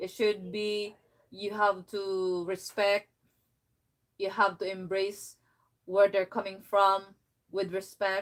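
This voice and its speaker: Very slowly and with long, frequent pauses, a woman speaks at a medium pitch in a strong Filipino accent and a monotone, flat intonation. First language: Filipino language. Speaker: vlogger. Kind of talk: casual chat. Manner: halting.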